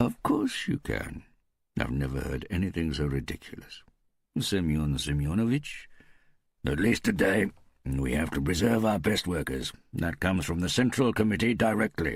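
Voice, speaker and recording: Putting on a character voice, a man speaks at a moderate pace in a very deep, low, raspy register with very wide pitch swings. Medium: read story. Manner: authoritative.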